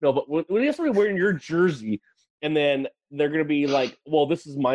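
A man speaks with an American accent in an unremarkable speaking voice. His pace is fairly quick and his pitch variation ordinary. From Wisconsin, US Midwest. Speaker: podcast co-host, gun enthusiast. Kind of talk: casual chat.

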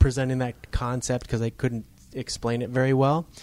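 A man with an American accent and a normal speaking voice, medium in pitch, at a fairly quick pace. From Upper Michigan. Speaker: podcast host, chiropractor. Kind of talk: casual interview.

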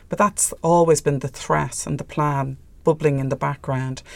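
With an Irish accent, a woman speaks at a moderate pace and with fairly even intonation. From Ireland. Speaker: filmmaker. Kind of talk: interview.

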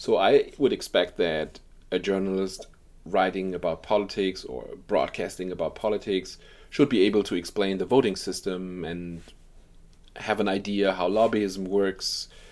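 A man speaks in a German accent at a fairly low pitch. The recording is very clean, with a silent background. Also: fairly even intonation, moderate pace. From Germany. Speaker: journalist. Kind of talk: interview. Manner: halting.

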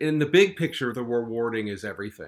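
On a very clean recording with a silent background, a man speaks in an unremarkable speaking voice at medium pitch with ordinary pitch variation. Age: 60. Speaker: retired finance worker, father. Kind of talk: casual chat.

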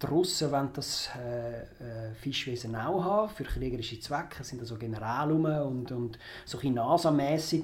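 A man with a Zurich accent, amid audible room echo. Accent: Zurich Swiss German. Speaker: film critic. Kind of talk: casual chat.

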